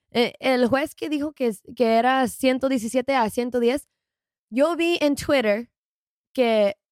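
Very slow and high-pitched, a woman speaks with long, frequent pauses in a dry, close sound with no echo and a very clean, silent background. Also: ordinary pitch variation. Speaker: boxing YouTuber. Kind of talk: casual chat. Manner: halting.

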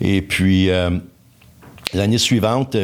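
A man talks very slowly, his pitch moving in an ordinary way. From Quebec, Laurentides (Pointe-Calumet). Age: 60s. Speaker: engineer. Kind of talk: casual interview. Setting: studio.

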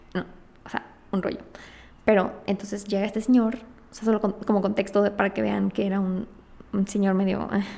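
With a Mexican accent, a woman of medium pitch speaks at a fairly quick pace in monotone, flat intonation, broken by long, frequent pauses. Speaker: podcast host and entrepreneur. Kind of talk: casual monologue.

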